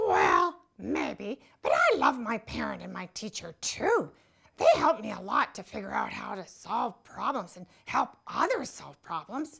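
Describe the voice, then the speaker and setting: A cartoonish character voice, female-sounding, at a fairly slow pace. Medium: puppet. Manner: warm, encouraging.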